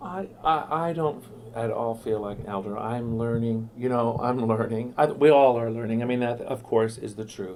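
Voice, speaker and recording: Delivered at a moderate pace with hardly any pauses, this is a plain, everyday voice with ordinary pitch variation. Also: man, medium pitch for a man. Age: 50s. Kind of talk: interview. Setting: radio studio.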